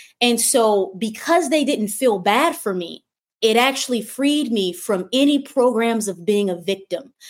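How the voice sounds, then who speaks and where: Speaking in an unremarkable speaking voice, a woman has an American accent and a fairly high pitch. Her intonation is lively and her pace fairly slow. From Michigan. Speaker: spiritual coach. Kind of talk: livestream monologue. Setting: livestream.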